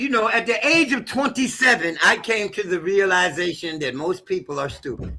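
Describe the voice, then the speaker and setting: Over noticeable background noise, a man projects a raised voice at a moderate pace. His pitch swings very widely, and he takes hardly any pauses. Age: 60s. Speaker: astrologer. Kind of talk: live panel discussion. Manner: emphatic.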